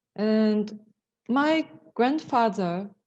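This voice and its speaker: Someone speaks with a Portuguese accent against a quiet background. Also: woman. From Brazil, São Paulo. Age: 50s. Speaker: lawyer. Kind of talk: presentation. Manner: halting.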